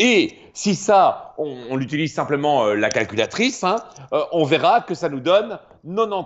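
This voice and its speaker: This man talks at a fairly slow pace in a high voice. His pitch swings very widely. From Belgium. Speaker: math popularizer and performer. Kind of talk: explanatory lecture in a live stream. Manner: animated.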